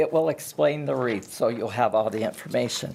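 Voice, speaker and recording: A moderate speaking pace is heard with noticeable noise in the background. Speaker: public commenter at city council. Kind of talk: public comment speech.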